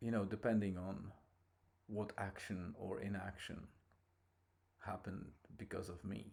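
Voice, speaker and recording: Pausing long and often, a man with a non-native accent speaks at a fairly slow pace in a fairly low pitch, his intonation monotone and flat. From abroad, outside Ireland. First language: not English. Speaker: podcaster. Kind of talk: casual monologue. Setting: in a car.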